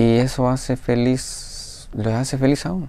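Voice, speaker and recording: A man speaks in a dark, mellow tone. The sound is dry with no echo. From Guatemala. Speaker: video blogger. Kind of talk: casual monologue to viewers. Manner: hesitant, thinking aloud. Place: home room. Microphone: lapel.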